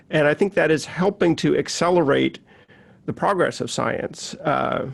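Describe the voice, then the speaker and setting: Speaking with an American accent, a man shows vocal fry at a moderate pace. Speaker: science journalist. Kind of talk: online talk and presentation. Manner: halting, many fillers and repeats.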